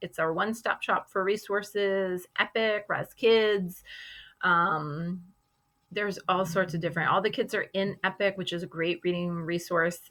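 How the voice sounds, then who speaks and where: Her pace is moderate, and the very clean recording has a silent background. A woman with a plain, everyday voice speaks at a medium pitch with fairly even intonation. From Boston, US. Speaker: kindergarten teacher. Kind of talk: recorded class presentation for parents. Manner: casual with many fillers.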